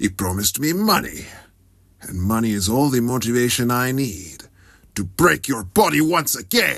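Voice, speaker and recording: A man puts on a character voice at a medium pitch, with very wide pitch swings. He talks at a moderate pace against a quiet background. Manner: menacing, mercenary.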